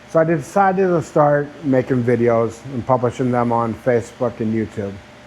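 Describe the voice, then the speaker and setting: A man talks at medium pitch and a moderate pace, his pitch varying in an ordinary way against noticeable background noise. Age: 60s. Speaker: YouTuber, laid-off engineer. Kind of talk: personal vlog monologue. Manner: conversational, with filler words.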